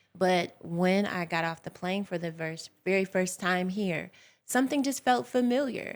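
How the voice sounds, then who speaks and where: In an American accent, a woman with an unremarkable speaking voice talks at a moderate pace and a medium pitch with lively intonation, on a very clean recording with a silent background. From United States. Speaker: radio show guest, storyteller. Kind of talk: radio interview, personal story.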